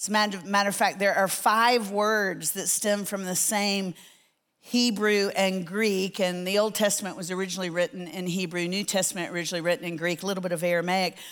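In a very clean recording with a silent background, a woman speaks at a moderate pace in a plain, everyday voice. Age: 60s. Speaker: Bible teacher. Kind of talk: sermon. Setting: church with audience.

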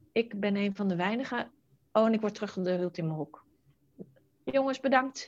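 She speaks at a fairly quick pace. The voice is a woman's. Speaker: entrepreneur, virtual assistant matchmaker. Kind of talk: interview conversation. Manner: fast.

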